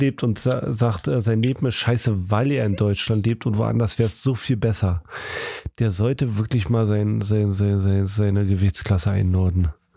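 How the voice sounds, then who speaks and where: The man's voice sits fairly low and holds a very even loudness. Noticeable background noise runs underneath. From Germany. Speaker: podcast co-host. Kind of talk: casual chat.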